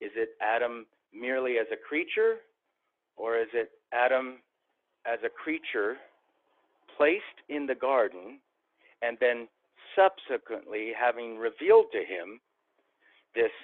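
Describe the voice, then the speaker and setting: With an American accent, a man at medium pitch speaks at a fairly slow pace, his pitch varying in an ordinary way between long, frequent pauses. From Central California. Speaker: theologian and seminary professor. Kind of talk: theological interview.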